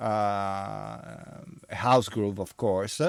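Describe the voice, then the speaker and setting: A man speaks with an Italian accent. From Italy. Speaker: DJ and vinyl record reviewer. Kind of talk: casual monologue review. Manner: halting, many fillers.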